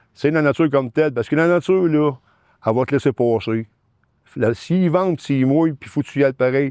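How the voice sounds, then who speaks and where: With a Quebec accent, a man speaks at a fairly quick pace and a fairly high pitch, with ordinary pitch variation but long, frequent pauses. The recording is very clean and dry, with a silent background, a close sound and no echo. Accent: Quebec French, colloquial. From Quebec, Sorel-Tracy islands area. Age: 60s. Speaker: excavation business owner. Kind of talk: interview. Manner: halting, many repetitions.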